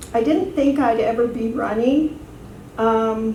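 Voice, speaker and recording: In a room with audible echo and noticeable background noise, a woman speaks with a fairly high pitch. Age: 60s. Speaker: city council candidate. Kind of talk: campaign speech. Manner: hesitant, many fillers.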